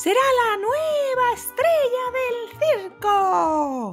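Faint music plays behind a woman doing a put-on character voice at an extremely high pitch, very slow in pace and lively in intonation.

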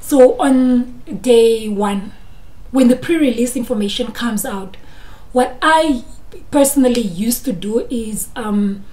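With a South African accent, a woman speaks at a high pitch in a dark, mellow tone, her pitch varying in an ordinary way. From Namibia, Grootfontein; Namibia. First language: Afrikaans. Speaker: YouTuber, chartered accountant; candidate. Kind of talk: educational vlog. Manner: animated. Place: home room. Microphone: phone near.

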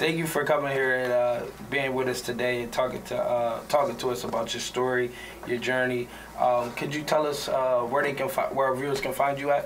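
Through noticeable background noise, a man speaks at medium pitch in a monotone, flat way. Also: moderate pace. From Wilmington, Delaware. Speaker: podcast host. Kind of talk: interview. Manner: halting.

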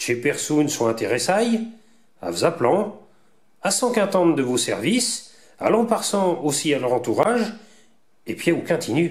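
Speaking with a Vendée accent, a man with a high pitch moves through very wide pitch swings at a fairly slow pace. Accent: Vendée patois. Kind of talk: promotional presentation narration.

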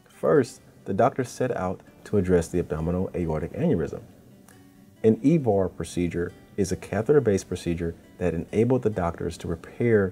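A man speaks at a fairly quick pace with a very deep, low pitch. His pitch varies in an ordinary way, with music in the background. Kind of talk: healthcare corporate narration.

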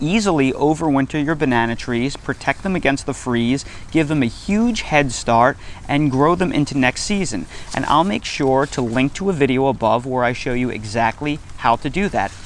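There's a man speaking at a moderate pace with lively intonation. The sound is dry with no echo, over light background noise. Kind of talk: tutorial. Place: garden. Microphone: lapel.

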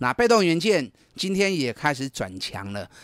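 A man's fairly high, animated voice with very wide pitch swings, dry and close with no echo, on a very clean recording with a silent background. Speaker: investment advisor. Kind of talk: radio market commentary. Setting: radio studio. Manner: animated, emphatic.

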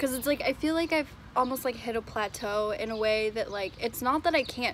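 A woman's voice with ordinary pitch variation, in a dry sound with no echo and light background noise. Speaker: climbing vlogger. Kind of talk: casual vlog chat. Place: street. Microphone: phone near.

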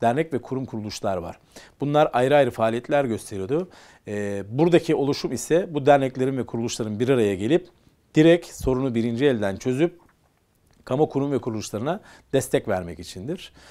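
Lively intonation marks a man's dark, mellow tone over a quiet background. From Istanbul, Turkey (Kumkapı); Istanbul. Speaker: business association leader; guest. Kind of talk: interview. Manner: hesitant, many fillers. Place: studio. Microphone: lapel.

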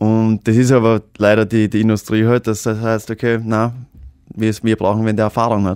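A man speaks in a flat monotone at very even loudness. The sound is dry, with no echo. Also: moderate pace, quiet background. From Austria. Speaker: actor and social media star; actor. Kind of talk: casual chat. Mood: cheerful, moved at end. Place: studio. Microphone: studio mic.

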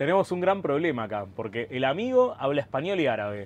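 Here a man speaks. The sound is dry, with no echo. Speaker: travel vlogger. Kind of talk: casual vlog chat. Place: train. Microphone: phone near.

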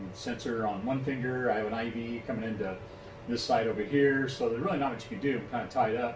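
This man talks at a very fast pace. Noticeable background noise runs behind him. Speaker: vlogger. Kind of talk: casual vlog chat. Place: home room. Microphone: phone near.

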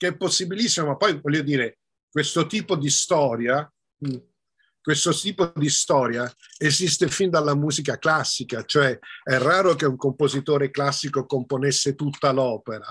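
A man talks at a moderate pace in a fairly high voice with ordinary pitch variation. The background is quiet. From Belgium, Brussels (Italian family). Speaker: film director and screenwriter; interviewee. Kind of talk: interview. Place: home room. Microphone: video call.

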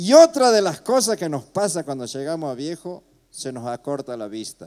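A man's dark, mellow voice at a moderate pace, with very wide pitch swings, big swings in loudness, and a quiet background. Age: 60s. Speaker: comedian. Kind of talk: stand-up. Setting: stage with audience. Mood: playful, humorous. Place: stage.

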